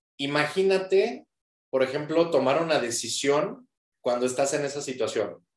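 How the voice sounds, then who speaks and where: This man's voice sits at a fairly high pitch, with lively intonation. He talks at a fairly slow pace. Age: 30s. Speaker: nutrition and cognitive fitness coach. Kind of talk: interview.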